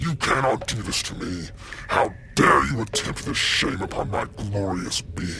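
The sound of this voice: A voice reads the text. It sounds unforced.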